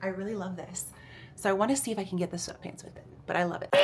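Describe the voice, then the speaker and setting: With audible room echo and noticeable background noise, a woman speaks at a medium pitch in a monotone, flat intonation. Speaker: fitness vlogger. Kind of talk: casual vlog. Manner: casual, chatty.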